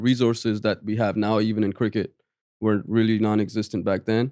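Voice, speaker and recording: In a dry, close recording that is very clean with a silent background, a man speaks very fast in a dark, mellow, fairly low voice with monotone, flat intonation. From Pakistan, Rawalpindi. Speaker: basketball coach. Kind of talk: podcast interview. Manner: casual, filler-heavy.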